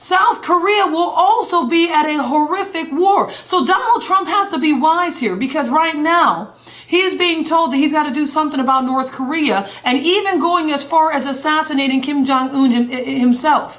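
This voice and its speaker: Over noticeable background noise and audible room echo, a woman with a high voice and lively intonation talks with hardly any pauses. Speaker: evangelist. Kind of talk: live broadcast commentary. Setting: live video broadcast. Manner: fast; animated.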